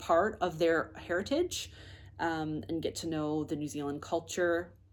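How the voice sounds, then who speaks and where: A woman with a Canadian accent speaks in a relaxed tone at a very deep, low pitch, with ordinary pitch variation and a fairly slow pace. The recording is very clean, with a silent background. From Canada, Nova Scotia. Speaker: knitting podcaster and yarn shop owner. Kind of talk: casual vlog chat. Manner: relaxed, many filler ums.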